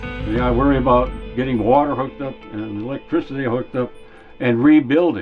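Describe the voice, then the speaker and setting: Background music accompanies this man. His voice sits at a medium pitch. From North Dakota. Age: 80s+. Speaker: wildfire survivor. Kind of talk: documentary interview answer.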